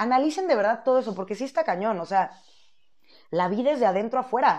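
A woman with a Mexican accent speaks in an animated tone with lively intonation. The background is quiet. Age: 30s. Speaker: podcast host. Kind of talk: casual monologue.

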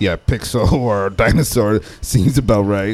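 Speaking at a fairly slow pace, a man with a plain, everyday voice talks at a fairly low pitch, using ordinary pitch variation. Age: 30s. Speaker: podcast guest. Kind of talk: casual chat.

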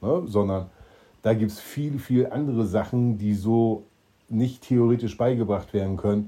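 A man with a fairly low pitch and a dark, mellow tone speaks at a fairly slow pace with fairly even intonation. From eastern Germany. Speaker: entrepreneur, podcast co-host. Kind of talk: casual chat.

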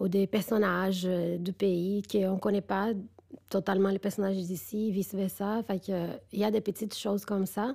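A woman with a Brazilian accent speaks at a medium pitch in a dark, mellow tone. Her intonation stays monotone and flat. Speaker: filmmaker. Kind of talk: interview discussion.

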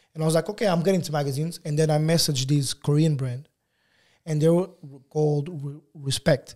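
Talking at a very fast pace, a man with a fairly high voice and a dark, mellow tone keeps a fairly even intonation. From Lisbon, Portugal (born in Angola). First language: Portuguese. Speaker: photographer. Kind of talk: casual interview.

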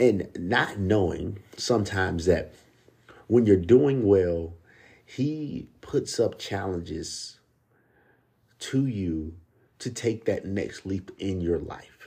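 Very slowly, with long and frequent pauses, a man speaks in a fairly low, somewhat breathy voice with a dark, mellow tone and lively intonation. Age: 30s. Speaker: podcast host. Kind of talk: personal monologue. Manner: halting, repeats words.

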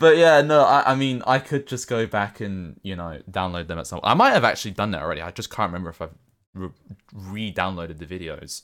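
On a very clean recording with a silent background, a man with a London accent speaks fairly quickly at a fairly low pitch, with very wide pitch swings and big swings in loudness. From England. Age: 20s. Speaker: Twitch streamer. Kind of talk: casual chat.

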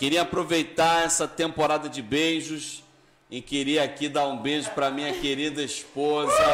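Talking at a moderate pace, a man with a fairly high pitch is heard over noticeable background noise. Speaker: podcast host and festival organizer. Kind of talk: casual live interview chat. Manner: animated, energetic.

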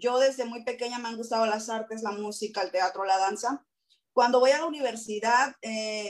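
A woman talks at a moderate pace in a fairly high pitch, with ordinary pitch variation. Hers is an unremarkable speaking voice. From Acapulco, Mexico. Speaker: art teacher. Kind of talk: panel discussion.

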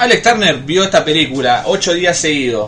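A man with a Rioplatense accent at a moderate pace, with noticeable background noise. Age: 20s. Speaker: podcast host. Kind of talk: casual chat. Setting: live stream with Discord call.

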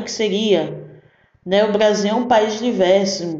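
Audible room echo surrounds this voice. A woman speaks in a fairly high pitch. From Recife, Pernambuco, Brazil. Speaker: podcast host. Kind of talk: casual monologue. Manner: animated.

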